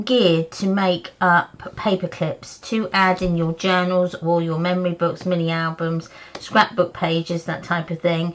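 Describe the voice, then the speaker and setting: A woman with a medium-pitched voice speaks at a very slow pace. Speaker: craft video host. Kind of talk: live craft stream chat. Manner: casual, hesitant with fillers.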